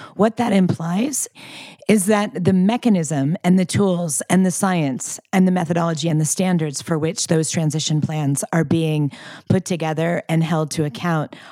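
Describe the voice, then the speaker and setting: A woman talks in a dark, mellow tone. Her pace is moderate and her pitch variation ordinary. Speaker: climate finance retreat organizer. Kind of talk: casual chat. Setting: country house retreat in Scotland.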